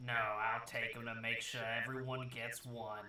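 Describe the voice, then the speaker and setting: A man does a raspy, put-on character voice at medium pitch in a monotone, flat intonation. He keeps a moderate pace, with clear background noise. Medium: actual play. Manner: practical, earnest.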